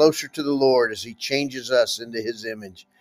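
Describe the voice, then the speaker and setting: Over music in the background, a man with a warm tone talks at a fairly quick pace. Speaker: devotional host and minister. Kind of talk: fervent prayer. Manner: earnest; warm, devout.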